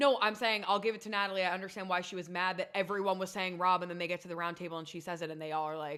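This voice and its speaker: The voice is loud, bright and sharp, with an animated tone. It races along at a very fast pace with hardly any pauses. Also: woman, medium pitch for a woman. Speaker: podcast co-host. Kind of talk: casual chat.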